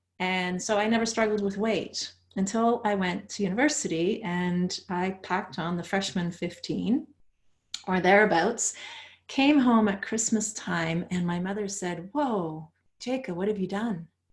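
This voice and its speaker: A somewhat breathy woman at a medium pitch with ordinary pitch variation, fairly slow, with a Dutch accent. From Netherlands, moved to Canada at thirteen. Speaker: author and coach. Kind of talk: interview.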